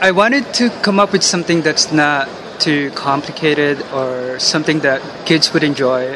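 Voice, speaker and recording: With noticeable background noise, a man speaks at a moderate pace and a fairly high pitch, with ordinary pitch variation and very even loudness. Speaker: toy inventor. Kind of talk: interview at a conference.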